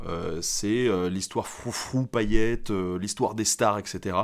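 With a quiet background, a man speaks at a fairly slow pace and a fairly low pitch. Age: 20s. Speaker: history YouTuber. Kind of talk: casual Q&A monologue. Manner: halting, many filler hesitations. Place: home room.

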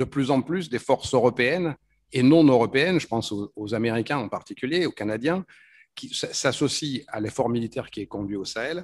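A man's speech moves at a moderate pace, and his pitch varies in an ordinary way. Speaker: speaker. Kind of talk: conference panel talk. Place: hall. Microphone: podium.

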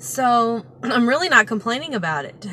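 Her pitch swinging very widely, a woman speaks at a fairly slow pace in a dry sound with no echo over light background noise. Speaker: vlogger. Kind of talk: casual vlog chat. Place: car. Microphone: phone near.

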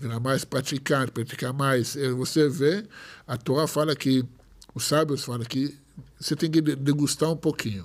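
Speaking at a moderate pace over a quiet background, a man with an Israeli accent uses a fairly high pitch and ordinary pitch variation. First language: Hebrew (speaking Portuguese). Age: 40s. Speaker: rabbi. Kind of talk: casual chat. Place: studio. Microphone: studio mic.

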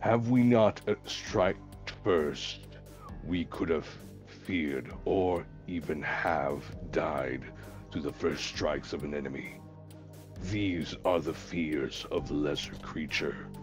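Over clear music in the background, a man uses a put-on character voice, very deep and low, at a fairly slow pace. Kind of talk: grave, formal in-character speech. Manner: measured, philosophical.

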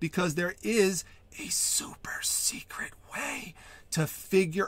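The man's voice has a dry sound with no echo. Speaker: online reseller channel host. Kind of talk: tutorial. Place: home room.

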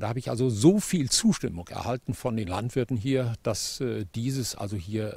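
This man's voice has a dark, mellow tone and is somewhat breathy, with ordinary pitch variation. He speaks at a moderate pace, and the sound is dry with no echo. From Germany. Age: 70s. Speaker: farmer. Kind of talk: interview. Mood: aggrieved, firm. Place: open country. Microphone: handheld.

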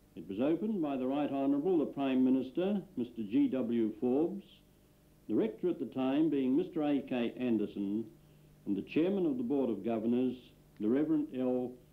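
A man with a plain, everyday voice speaks at a moderate pace, his medium pitch carried by lively intonation. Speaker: film narrator. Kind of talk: scripted archival film narration. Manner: measured, formal, dry-humoured.

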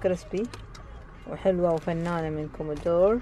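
Speaking with an Arabic accent, a woman of medium pitch keeps a moderate pace. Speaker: vlogger. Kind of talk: casual vlog narration to camera. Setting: outdoors and in Dubai, on location.

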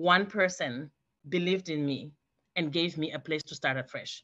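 A woman's very deep, low voice at a fairly quick pace, with fairly even intonation against a quiet background. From Africa. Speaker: guest. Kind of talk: testimony. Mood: earnest, passionate. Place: home room. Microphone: video call.

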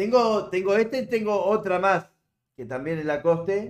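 A man speaks in a Uruguayan accent. The background is quiet. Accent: Uruguayan Spanish (rioplatense). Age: 70s. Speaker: livestreamer. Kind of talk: casual chat. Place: home room.

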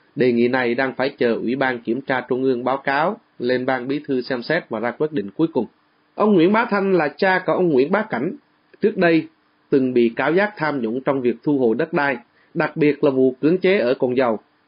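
Lively in intonation and fairly quick in pace, a man talks at a fairly high pitch in a normal speaking voice. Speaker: radio reporter. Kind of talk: news discussion. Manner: formal.

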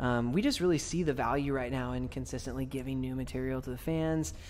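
A man delivers his words at a fairly quick pace in a monotone, flat intonation. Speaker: lead vocalist of a metalcore band. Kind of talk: interview answer. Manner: soft-spoken. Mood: friendly, soft-spoken. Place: home room. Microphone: handheld.

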